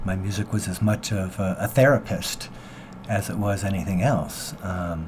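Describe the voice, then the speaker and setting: A man with a fairly low voice talks at a moderate pace, his pitch varying in an ordinary way amid noticeable background noise. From US Pacific Northwest, Seattle. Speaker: singer-songwriter. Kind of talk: radio interview. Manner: halting.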